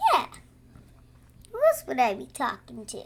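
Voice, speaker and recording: A female-sounding, put-on character voice at a moderate pace. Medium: audio drama. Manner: warm, gentle.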